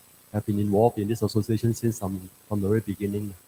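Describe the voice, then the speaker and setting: This man's voice sits fairly low in pitch and sounds somewhat breathy. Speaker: president of a Buddhist association. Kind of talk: short address at a religious gathering. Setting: shrine hall, livestreamed. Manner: halting, many fillers.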